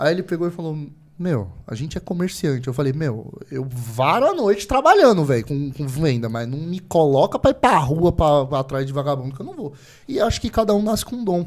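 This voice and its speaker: At a fairly quick pace, a man speaks with a fairly high pitch and lively intonation. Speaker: podcast host. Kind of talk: casual chat. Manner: animated.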